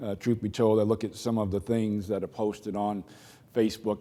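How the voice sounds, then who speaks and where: Speaking in a Boston accent, a man talks at a fairly quick pace with a fairly low pitch. His tone is dark and mellow. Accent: Boston accent, noticeable. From Boston, Massachusetts. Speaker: keynote speaker, corporate executive. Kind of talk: keynote speech. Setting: conference stage with audience. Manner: halting, many fillers.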